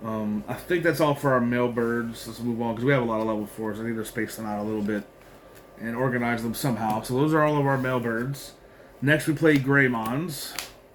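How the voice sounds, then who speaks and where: Here is an ordinary speaking voice from a man at a medium pitch. He moves at a fairly quick pace with fairly even intonation. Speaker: trading card game content creator. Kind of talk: deck profile tutorial. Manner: casual with frequent fillers.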